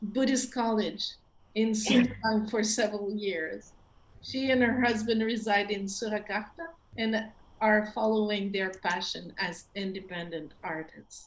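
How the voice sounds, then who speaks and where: Through noticeable background noise, a woman speaks fairly slowly at a fairly high pitch with ordinary pitch variation. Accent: French. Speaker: event host. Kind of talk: event introduction. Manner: halting.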